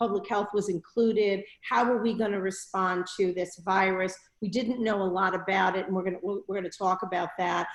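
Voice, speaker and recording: A woman talks fairly quickly with a New York accent. Her pitch is medium and her intonation fairly even. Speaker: public health school dean. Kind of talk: online talk to alumni.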